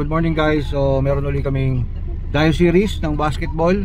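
The sound is dry, with no echo, and there is noticeable background noise. The pace is moderate. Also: man. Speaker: vlogger. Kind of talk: casual vlog chat. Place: car. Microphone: phone near.

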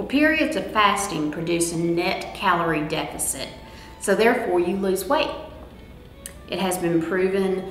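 A woman at a fairly slow pace with long, frequent pauses, audible room echo and faint music in the background. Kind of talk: informational talk. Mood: warm, upbeat.

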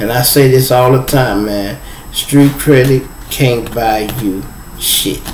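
Speaking at a very slow pace, a man is heard with audible room echo and light background noise. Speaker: live stream host. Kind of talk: casual live stream storytelling. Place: home room. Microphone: phone near.

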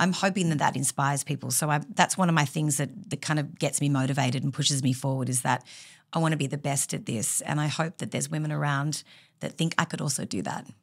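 A woman with a very deep, low pitch and vocal fry, talking at a very fast pace with ordinary pitch variation over a quiet background. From Australia. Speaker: real estate auctioneer; podcast guest, auctioneer. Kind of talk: podcast interview answer. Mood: earnest, encouraging. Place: office. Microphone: studio mic.

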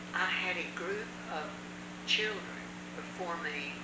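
A woman is speaking. Loud background noise is present. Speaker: church teacher. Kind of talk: personal story told in conversation. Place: home room. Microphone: camera far.

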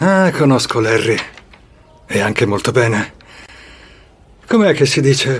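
A man's put-on character voice, medium in pitch and slow, with big pitch swings and a slightly husky edge

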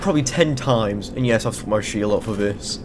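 Noticeable background noise sits behind the speaker. He is a man with a medium pitch and ordinary pitch variation. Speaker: gaming commentator. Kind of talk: casual let's play commentary.

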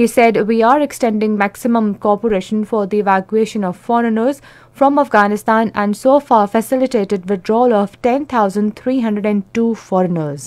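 A moderate pace in a Pakistani accent, with ordinary pitch variation and hardly any pauses. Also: woman, fairly high pitch for a woman. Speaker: radio newsreader. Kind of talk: formal national radio news bulletin reading. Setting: radio studio. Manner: measured, even-paced formal delivery; crisp, neutral announcer tone. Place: studio. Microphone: studio mic.

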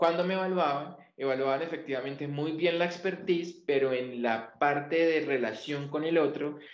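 The voice moves at a moderate pace with fairly even intonation. An audible echo from the room surrounds it. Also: man.

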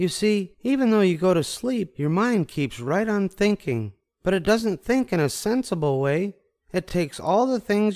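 Against a quiet background, this is plain reading aloud with lively intonation.

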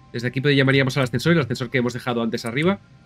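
A man at a medium pitch with music in the background. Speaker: video game streamer. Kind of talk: casual gameplay commentary.

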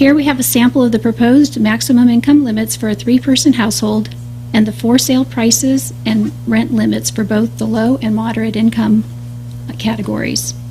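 Noticeable background noise behind a woman talking fairly quickly. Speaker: city housing staff presenter. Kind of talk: staff report presentation at council meeting. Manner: soft-spoken; formal.

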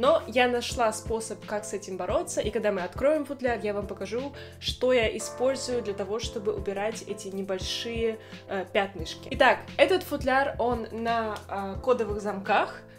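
A woman's fairly high voice at a moderate pace, with ordinary pitch variation and clear music in the background. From Russia, Saint Petersburg; Russia. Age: 20s. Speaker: violinist and video blogger; violinist vlogger. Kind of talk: casual show-and-tell vlog. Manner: friendly, with filler hesitations. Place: home room.

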